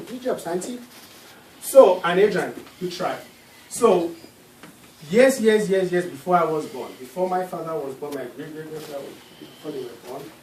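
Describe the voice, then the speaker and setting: In a room with audible echo and noticeable background noise, a man speaks at a high pitch and a moderate pace, with very wide pitch swings, big swings in loudness, and long, frequent pauses. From Nigeria. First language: Nigerian native language. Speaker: guest speaker at a school class. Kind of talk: classroom presentation with Q&A.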